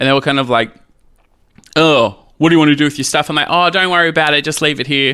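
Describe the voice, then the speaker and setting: The speaker talks at a very fast pace in an Australian accent. The tone is bright and sharp, with fairly even intonation. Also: man. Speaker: drag queen and single dad. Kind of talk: casual interview chat.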